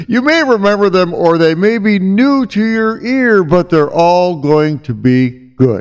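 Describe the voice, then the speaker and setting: Speaking with an American accent at a fairly slow pace, a man uses a high pitch with very wide pitch swings and very even loudness. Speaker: radio host. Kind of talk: radio show hosting with music.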